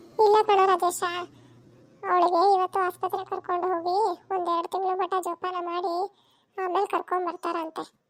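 The clip features a cartoonish character voice with monotone, flat intonation. The pace is moderate. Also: woman, extremely high pitch for a woman, dry, close sound with no echo. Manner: brisk, plain-spoken.

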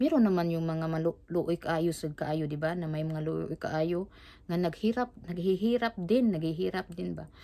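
A woman's fairly low-pitched voice with a dark, mellow tone, ordinary pitch variation and a fairly slow pace. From Philippines, Cebu; Philippines. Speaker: vlogger. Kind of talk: casual vlog chat. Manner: halting, repetitive. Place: home room.

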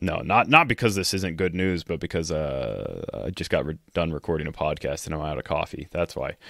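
At a fairly quick pace with hardly any pauses, a man with vocal fry and a very deep, low pitch uses ordinary pitch variation, recorded very cleanly with a dry, close sound, no echo and a silent background. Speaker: podcast co-host. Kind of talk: casual chat. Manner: low-energy.

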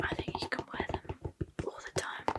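A woman talks at a fairly slow pace. Loud background noise fills the recording. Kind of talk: soft role-play shop chat. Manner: soft, gentle ASMR shop-assistant voice. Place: home room. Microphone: studio mic.

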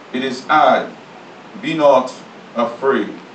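A man speaks over light background noise, with audible echo from the room. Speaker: pastor. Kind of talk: sermon scripture reading. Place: church.

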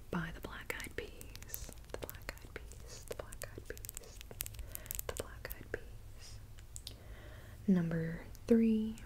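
A woman speaks at a very slow pace with long, frequent pauses. Her loudness swings widely over light background noise. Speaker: vlogger. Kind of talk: casual vlog chat. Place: home room. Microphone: earbuds.

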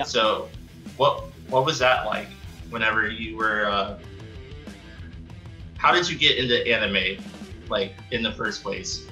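Faint music plays in the background as a man speaks. He goes at a fairly slow pace with long, frequent pauses. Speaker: interviewer, former military. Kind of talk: interview questions. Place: home room. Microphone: studio mic.

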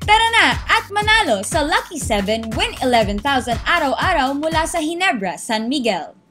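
A woman speaks in a raised, projected voice with a high pitch and very wide pitch swings. She has hardly any pauses, and music plays in the background. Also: moderate pace. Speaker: voice actor. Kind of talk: TV commercial read.

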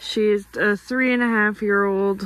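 Speaking at a slow pace, a woman has a fairly bright tone and ordinary pitch variation.

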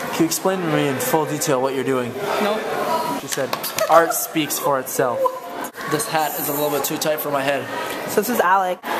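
Fairly quick speech over loud background noise. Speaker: vlogger filming friends. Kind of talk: casual vlog chat. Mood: playful, joking narration. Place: hall. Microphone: phone near.

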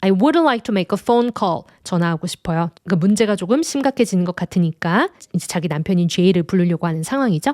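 A woman speaks very fast with lively intonation at a medium pitch. The sound is dry and close, with no echo. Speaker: English teacher. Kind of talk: lecture.

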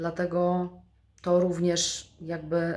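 A woman's fairly low voice at a very slow pace. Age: 40s. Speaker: vlogger. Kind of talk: motivational monologue.

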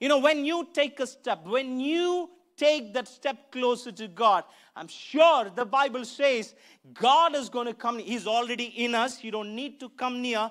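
The pace is fairly slow, with few pauses and ordinary pitch variation. The tone is fairly bright. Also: man, extremely high pitch for a man.

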